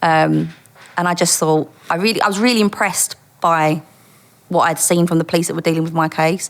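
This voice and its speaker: A woman with a strong East London accent talks at a fairly quick pace and a fairly low pitch. Her loudness stays very even, with fairly even intonation. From Dagenham, East London, England. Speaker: former undercover police officer. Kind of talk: interview storytelling.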